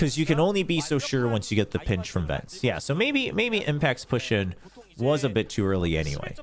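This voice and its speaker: Through noticeable background noise, a man with an American accent talks fairly quickly at a medium pitch, with very wide pitch swings and very even loudness. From US East Coast (Upstate New York), part childhood in Korea. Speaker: esports caster. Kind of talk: live commentary on watch-party stream. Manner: animated.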